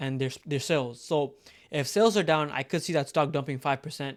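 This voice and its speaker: Recorded very cleanly against a silent background, a man with a fairly high pitch speaks at a fairly quick pace. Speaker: stock market YouTuber. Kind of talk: casual talk-to-camera commentary. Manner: fast; filler-heavy, self-correcting.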